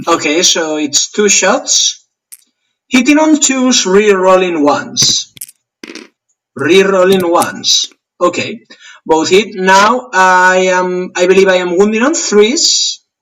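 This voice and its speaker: With a Spanish accent, a man speaks at a very slow pace and a high pitch, using lively intonation and long, frequent pauses. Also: very even loudness. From Spain. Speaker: tabletop wargame player. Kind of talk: casual game play chat.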